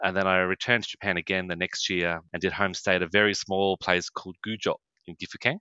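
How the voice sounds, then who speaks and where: Very fast, very deep and low male speech in a Queensland accent, with monotone, flat intonation. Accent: Australian (Queensland). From Atherton Tablelands, Queensland, Australia. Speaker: tourism sales representative. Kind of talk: casual interview.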